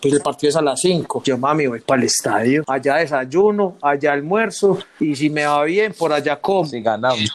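A plain, everyday voice belongs to a man with a fairly high pitch and ordinary pitch variation. He keeps a moderate pace with hardly any pauses. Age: 30s. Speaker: football fan. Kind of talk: casual chat.

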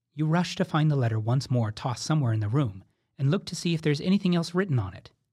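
This man's fairly high voice is somewhat breathy, with a dark, mellow tone and a gentle, playful tone. His intonation is lively, on a very clean recording with a silent background. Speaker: drama warm-up guide. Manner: urgent, playful narration nudging the listener along; gentle, evocative and suspenseful, posing imaginative questions.

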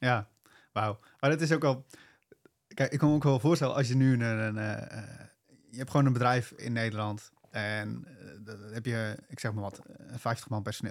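A man speaks in a plain, everyday voice at a medium pitch. His pitch varies in an ordinary way, and his pace is moderate. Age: 20s. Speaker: podcast host. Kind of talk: interview conversation.

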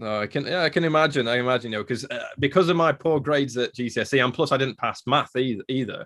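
With an English accent, a man speaks at a very fast pace with hardly any pauses, a medium pitch and ordinary pitch variation. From England. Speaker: paleontologist. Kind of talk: interview.

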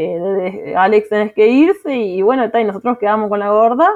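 A woman talks at a fairly high pitch. Her pace is fairly quick, with ordinary pitch variation. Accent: Uruguayan. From Uruguay, Tacuarembó. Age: 20s. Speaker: accountant and mother. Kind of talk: personal testimony. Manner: hesitant, many fillers.

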